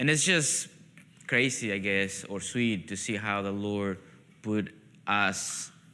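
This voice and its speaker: A man's fairly low voice with a bright, sharp tone and a Peruvian accent. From Peru, coastal. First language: Spanish. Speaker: pastor, missionary. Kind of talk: testimony. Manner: halting, with false starts.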